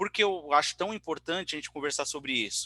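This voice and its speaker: The recording is very clean, with a silent background. A man's tone comes across as bright and sharp. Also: dry, close sound with no echo. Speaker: tech company presenter. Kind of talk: technical presentation. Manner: fast.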